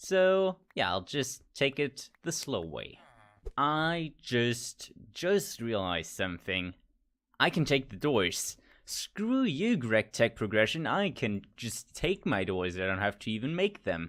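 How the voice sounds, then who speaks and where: In a very clean recording over a silent background, a man speaks with an American accent at a medium pitch. His pitch swings very widely, and his pace is very slow. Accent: switches between American and British. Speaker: gaming youtuber. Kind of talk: gameplay commentary. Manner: casual, thinking aloud.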